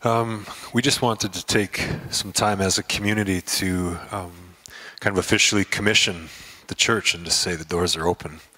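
A man talks in an unremarkable speaking voice at a fairly low pitch. His pace is moderate and his intonation fairly even. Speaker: pastor. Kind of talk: church service. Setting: church. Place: church. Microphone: handheld.

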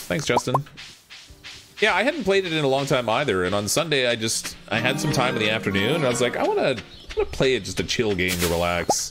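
Man at a medium pitch, with music in the background. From Canada. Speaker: game streamer. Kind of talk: informal, conversational. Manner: fast talker; casual, relaxed, joking.

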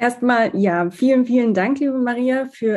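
A woman talks in a normal speaking voice, at a moderate pace with ordinary pitch variation. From southern Germany. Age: 30s. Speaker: fashion designer. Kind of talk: podcast interview.

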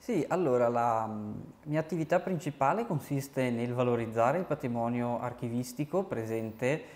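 The man speaks at a medium pitch with ordinary variation. His pace is moderate. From Quero, Belluno province, Veneto, Italy; Veneto, Italy. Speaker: civil service volunteer archivist; guest. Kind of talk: interview. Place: studio. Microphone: lapel.

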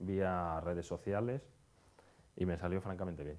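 Speaking at a fairly slow pace, this man has a dark, mellow tone and a very deep, low pitch. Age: 30s. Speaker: conference speaker on hotel marketing. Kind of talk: conference talk.

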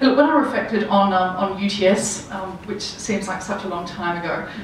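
There is light background noise and audible room echo. A woman speaks at a moderate pace. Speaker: panelist. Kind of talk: panel discussion answer. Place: hall.

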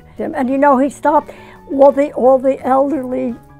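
A woman talks at a fairly quick pace in a high pitch, with faint music in the background. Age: 80s+. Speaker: retired community volunteer and mother. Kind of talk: interview answer. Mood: warm, fond, animated. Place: home room.

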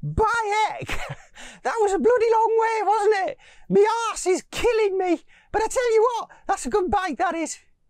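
Squeaky and extremely high, a put-on character voice with a Geordie accent moves at a moderate pace. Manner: complaining.

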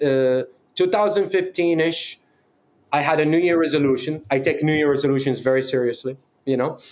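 With a Middle Eastern accent, a man speaks at a moderate pace. His pitch is fairly high and his loudness very even. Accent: Middle Eastern-accented Canadian English. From Middle East, moved to Canada. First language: not English (Middle Eastern language). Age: 30s. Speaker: fightwear brand founder; podcast guest. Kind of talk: casual chat. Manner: animated. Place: home room.

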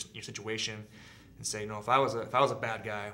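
A man is speaking. He has a General American accent. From Southern California. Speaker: army veteran. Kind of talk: interview answer. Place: studio.

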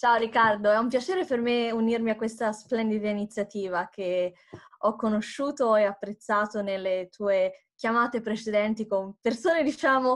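With a Tuscan accent, a woman speaks with ordinary pitch variation. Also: fairly high pitch for a woman, moderate pace, quiet background. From Tuscany, Italy. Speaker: democracy support worker; interview guest. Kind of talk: interview. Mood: warm, smiling. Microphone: video call.

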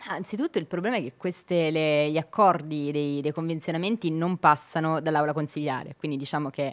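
A woman speaks with a very deep, low pitch. She goes at a fairly quick pace against a quiet background. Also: ordinary pitch variation. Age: young. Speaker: city councillor. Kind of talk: radio interview. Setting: radio studio. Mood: earnest, engaged on politics. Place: studio. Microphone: studio mic.

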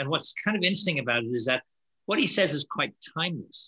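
Against a quiet background, a man with an Irish accent speaks very fast in a bright, sharp tone with ordinary pitch variation. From Ireland. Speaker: networking keynote speaker; keynote speaker. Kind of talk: panel Q&A discussion. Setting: video call. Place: home room. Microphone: webcam.

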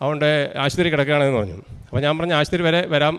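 This man has a normal speaking voice, fairly high in pitch. His pitch variation is ordinary. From Kerala, Idukki district (Kattappana). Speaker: rubber tapper giving a religious testimony. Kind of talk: testimony.

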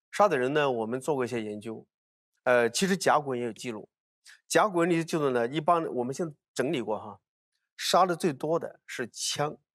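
Against a quiet background, a man speaks at a fairly quick pace. His voice is fairly high, with lively intonation. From China, Hunan (Hunan-Jiangxi border). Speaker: archaeologist. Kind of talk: casual chat. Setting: studio. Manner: animated, repetitive. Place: studio. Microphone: lapel.

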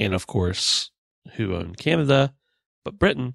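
A man with a plain, everyday voice, lively intonation and a moderate pace, in a dry, close sound with no echo. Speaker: history podcast co-host. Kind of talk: casual chat.

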